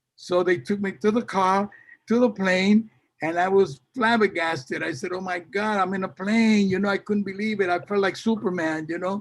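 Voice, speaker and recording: Here a man has a high pitch and a Puerto Rican New York accent. His intonation is fairly even. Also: moderate pace. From Puerto Rico, moved to New York at fifteen. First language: Spanish. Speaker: salsa singer. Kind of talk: interview. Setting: video call. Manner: halting, many fillers and repetitions.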